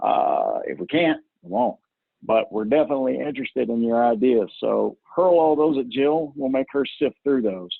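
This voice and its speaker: A man talks at a moderate pace with a strong rural Southern US accent. The sound is dry with no echo, and the background is quiet. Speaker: software trainer. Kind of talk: webinar presentation with Q&A. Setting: video call. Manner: casual. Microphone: video call.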